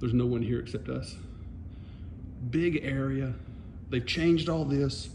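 With light background noise behind him, a man speaks at a moderate pace. His voice is dark and mellow with vocal fry and ordinary pitch variation. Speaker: vlogger. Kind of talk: casual vlog chat. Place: shop. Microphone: phone near.

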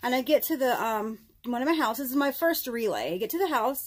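The pace is moderate as a woman talks. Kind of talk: casual vlog chat. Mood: amused, laughing at times. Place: car. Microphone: phone near.

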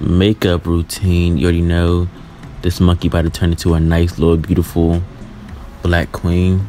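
With music in the background, a man speaks at a moderate pace in a very deep, low pitch and a playful tone. His intonation is monotone and flat, and his loudness stays very even. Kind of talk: comedic makeup voice-over commentary. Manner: hype, playful.

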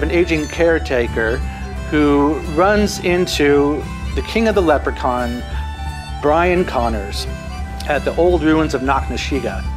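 Clear music plays in the background as a man talks at a fairly slow pace. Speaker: talk show host. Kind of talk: talk show host monologue. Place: studio.

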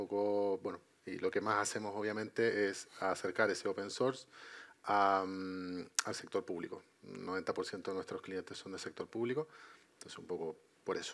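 At a moderate pace, a man with a fairly low voice talks in fairly even intonation. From Chile. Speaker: IT consultant; panelist. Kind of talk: panel discussion. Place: stage. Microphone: headset.

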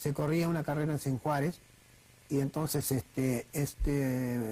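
Somewhat breathy male speech at a moderate pace. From Argentina. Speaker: racing driver. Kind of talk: interview answer. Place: studio.

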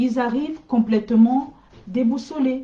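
With normal rise and fall in her pitch, a woman talks very slowly. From Cameroon. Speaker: school coach and middle school staff; school coach. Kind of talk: live stream talk to parents. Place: home room. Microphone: webcam.

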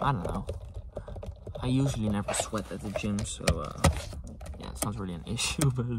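Loud background noise surrounds a man, whose sound is dry with no echo. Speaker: ASMR vlogger. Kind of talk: casual vlog chat. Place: car. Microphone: phone near.

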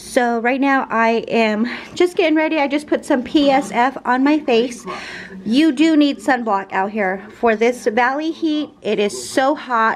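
A woman's high-pitched voice at a fairly slow pace, with light background noise. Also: ordinary pitch variation. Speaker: travel vlogger. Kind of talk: casual vlog chat. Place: home room. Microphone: phone near.

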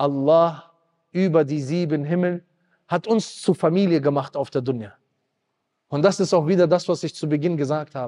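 A man with a dark, mellow tone talks at a moderate pace with ordinary pitch variation and long, frequent pauses against a quiet background. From Germany. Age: 30s. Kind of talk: sermon. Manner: emotional, impassioned. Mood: emotional, animated. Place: hall. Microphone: handheld.

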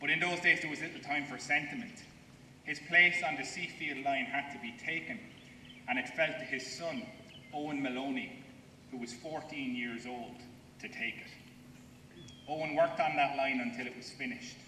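In an Irish accent, the speaker talks at a moderate pace with lively intonation, big swings in loudness and long, frequent pauses, over light background noise and audible room echo. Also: man, fairly high pitch for a man. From Ireland. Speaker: historian. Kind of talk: ceremonial speech. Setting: outdoors. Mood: solemn, respectful. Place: open country. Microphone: podium.

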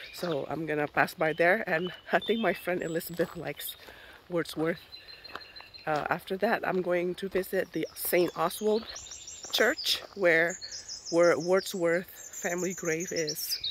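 Speech comes at a fairly slow pace, broken by long, frequent pauses. Noticeable background noise is present. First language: not English. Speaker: hiking vlogger. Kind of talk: vlog narration. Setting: outdoors.

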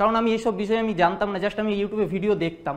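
A man speaks with a high pitch. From West Bengal, Bishnupur, Bankura district; West Bengal. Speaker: gaming YouTuber. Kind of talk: motivational talk. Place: stage. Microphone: lapel.

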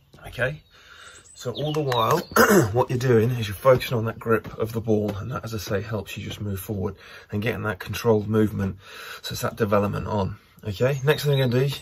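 A man talks at a very fast pace in a somewhat breathy voice with ordinary pitch variation. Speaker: rugby coach. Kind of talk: tutorial. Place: garden.

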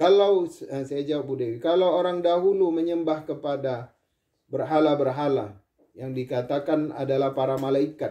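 Against a quiet background, a man with a dark, mellow tone speaks at a fairly high pitch with ordinary pitch variation. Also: moderate pace. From Indonesia. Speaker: Islamic preacher. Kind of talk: sermon. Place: home room. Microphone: camera far.

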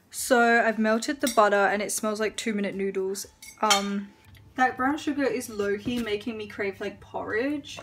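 Woman's voice with fairly even intonation against noticeable background noise. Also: moderate pace. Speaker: home cook vlogger. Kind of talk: casual vlog chat. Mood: cheerful, relaxed. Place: kitchen. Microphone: phone near.

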